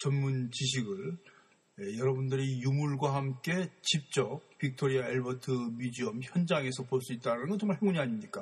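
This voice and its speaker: A somewhat breathy man speaks with fairly high pitch. His delivery is fairly slow with lively intonation. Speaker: art history lecturer. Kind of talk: lecture. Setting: museum gallery. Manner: halting.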